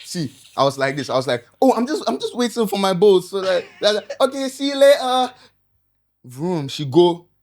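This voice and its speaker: With very wide pitch swings, a man talks at a moderate pace in a high voice. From northern Ghana. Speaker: social media influencer. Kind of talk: casual chat. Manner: animated.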